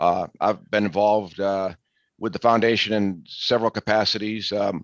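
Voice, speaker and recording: Recorded dry and close with no echo, a man with a Boston accent speaks at a moderate pace in a fairly low, monotone, flat voice. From Massachusetts, north of Boston. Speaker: appraisal board vice chair. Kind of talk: webinar panel introduction.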